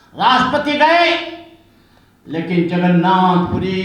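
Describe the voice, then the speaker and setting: There is noticeable background noise and audible room echo around the man speaking. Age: 70s. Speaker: Buddhist monk. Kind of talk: public speech.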